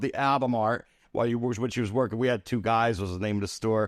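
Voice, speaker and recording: A man with a New Jersey accent talks at a fairly quick pace, the sound dry and close with no echo against a quiet background. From US Northeast, Atlantic City, New Jersey. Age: 60s. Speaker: celebrity photographer. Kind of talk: casual interview chat. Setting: studio.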